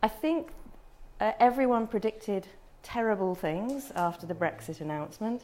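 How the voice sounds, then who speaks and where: A woman speaks with a British accent. Her intonation is lively. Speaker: travel marketing executive presenting to tourism professionals. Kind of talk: presentation. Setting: room with audience.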